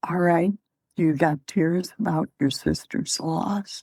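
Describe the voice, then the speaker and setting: With a very deep, low pitch and ordinary pitch variation, a woman speaks in a dry, close sound with no echo. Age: 80s+. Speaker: chaplain and grief counselor. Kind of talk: interview.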